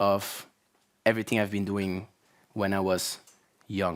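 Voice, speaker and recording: A Belgian accent on a very clean recording with a silent background. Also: man. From Belgium (Flanders). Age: 30s. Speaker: YouTuber. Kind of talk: conference talk. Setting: stage with audience.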